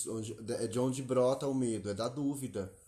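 A man is talking. His voice sits in a middle pitch range and has a dark, mellow tone. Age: 30s. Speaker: podcast co-host. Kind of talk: casual chat.

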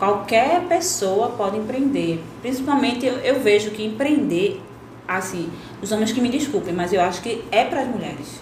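With audible room echo and noticeable background noise, the voice moves at a moderate pace with lively intonation. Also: woman, fairly high pitch for a woman. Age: 30s. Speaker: biologist and entrepreneur. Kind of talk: interview.

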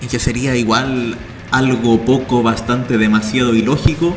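A man's medium-pitched voice at a moderate pace, fairly even intonation, audible room echo and noticeable background noise. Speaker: student radio host. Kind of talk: radio talk show.

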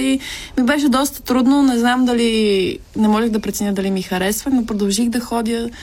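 A woman at a moderate pace, her intonation fairly even, with noticeable background noise. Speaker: actress. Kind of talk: casual chat.

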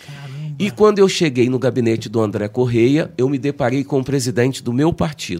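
A man talks at a moderate pace with hardly any pauses. His medium-pitched voice has a dark, mellow tone and lively intonation. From Brazil, Rio de Janeiro state. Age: 50s. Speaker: city councillor. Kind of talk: interview.

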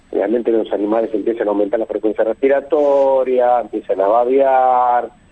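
Here is a man with a plain, everyday voice. He keeps a medium pitch, a moderate pace and fairly even intonation. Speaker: veterinarian. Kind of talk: radio interview.

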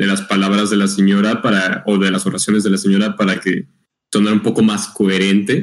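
Fairly low-pitched male voice. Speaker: podcast co-host. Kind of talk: casual chat. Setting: live stream. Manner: loud.

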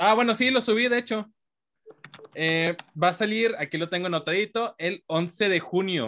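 This man talks at a high pitch with lively intonation. His pace is moderate. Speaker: podcast host. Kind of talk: casual chat. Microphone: volume goes up and down, far from mic.

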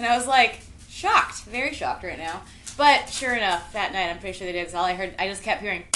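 A woman at medium pitch, very fast and animated, with lively intonation, big swings in loudness and noticeable background noise. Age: 30s. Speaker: podcast host. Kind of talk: casual chat.

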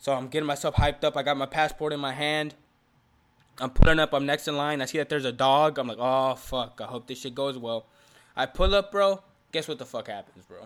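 An ordinary speaking voice from a man with an American accent, fairly high in pitch, fairly quick, with fairly even intonation and big swings in loudness. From Houston, Texas. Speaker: podcast co-host. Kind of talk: casual chat.

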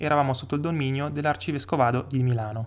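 Lively in intonation, this man talks at a very fast pace. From Stresa, Lake Maggiore, Piedmont, northern Italy. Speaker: local history podcaster. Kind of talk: scripted narration.

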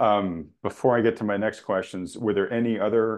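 In a plain, everyday voice, a man speaks with a fairly low pitch and fairly even intonation. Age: 50s. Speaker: finance video podcast host. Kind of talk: interview. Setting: video call.

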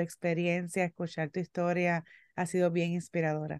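A woman speaks at a moderate pace with fairly low pitch. The sound is dry and close with no echo, and the background is quiet. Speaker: podcast co-host. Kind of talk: casual interview chat. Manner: emotional, sentimental.

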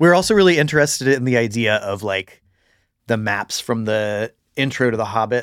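In a plain, everyday voice, a man with an American accent talks at a fairly quick pace and medium pitch with ordinary pitch variation, the sound dry and close with no echo on a very clean recording with a silent background. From US South, St. Augustine, Florida. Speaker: forager and permaculture designer. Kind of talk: casual chat. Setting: outdoors on a hike (intro only).

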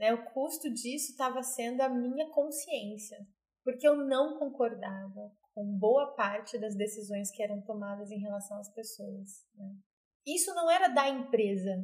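Her intonation lively and her loudness swinging widely, a woman speaks with a fairly high pitch. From Brazil, Mato Grosso do Sul (Nova Andradina). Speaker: psychologist and leadership trainer. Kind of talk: interview, telling her life story. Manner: hesitant, many fillers.

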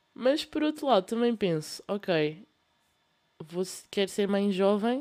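A woman with a European Portuguese accent, dark, mellow tone and very slow pace. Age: young. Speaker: podcast host. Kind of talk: casual monologue. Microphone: laptop fan noise.

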